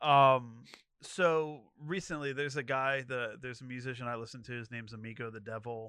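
A man with a western Pennsylvania accent, bright and sharp in tone, medium in pitch, fairly quick, fairly even in intonation, with big swings in loudness. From Moon Township, Pittsburgh area. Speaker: podcast guest. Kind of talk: casual chat. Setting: studio.

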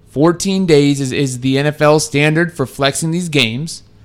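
Moderate pace, ordinary pitch variation and fairly high pitch from a man in a plain, everyday voice. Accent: American. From Texas. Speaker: radio producer and co-host. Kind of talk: casual chat.

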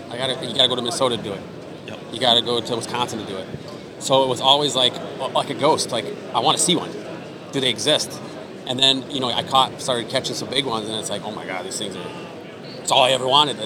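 A man at a medium pitch talks at a very fast pace with long, frequent pauses, fairly even intonation and big swings in loudness over noticeable background noise. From Iowa, US Midwest. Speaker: fishing TV host and resort owner. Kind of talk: casual interview chat.

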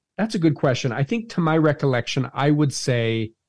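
A man with a fairly high pitch speaks at a moderate pace, somewhat breathy and with lively intonation. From Utah, Salt Lake City. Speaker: cellist and musician. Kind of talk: interview.

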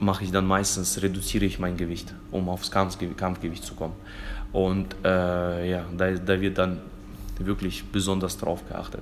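Amid noticeable background noise and audible room echo, a man talks at a fairly slow pace with a very deep, low pitch and monotone, flat intonation. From Germany, Fulda (moved from Kazakhstan at 11-12). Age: 30s. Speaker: kickboxing champion and martial arts school owner. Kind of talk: casual interview. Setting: in his martial arts school. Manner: halting, many repetitions.

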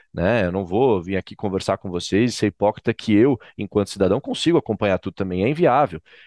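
A fairly low-pitched man at a very fast pace, hardly any pauses, against a quiet background. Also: ordinary pitch variation, dry, close sound with no echo. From Brazil, Florianópolis, Santa Catarina. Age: 20s. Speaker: political education NGO director and professor. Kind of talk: podcast interview.

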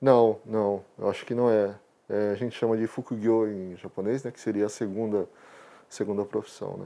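A man's fairly low, dark, mellow voice in a flat monotone, moderate pace, big swings in loudness, and a quiet background. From Brazil, interior of Paraná. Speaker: professional photographer. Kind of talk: interview.

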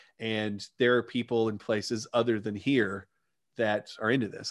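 A man talks in a monotone, flat intonation with a Southern US accent. The background is quiet. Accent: Southern American. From US South, Arkansas. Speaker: digital marketer, former chiropractor. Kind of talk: podcast interview.

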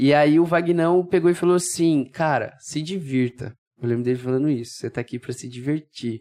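At a fairly quick pace, a man talks with a fairly high pitch. His tone is dark and mellow. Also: ordinary pitch variation. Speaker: triathlete. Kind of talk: casual chat.

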